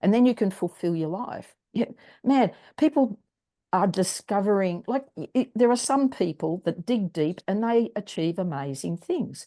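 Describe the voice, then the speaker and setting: A woman with an Australian accent, a dark, mellow tone and lively intonation, at a moderate pace against a quiet background. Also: medium pitch for a woman. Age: 70s. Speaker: wellness strategist and singer. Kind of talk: interview.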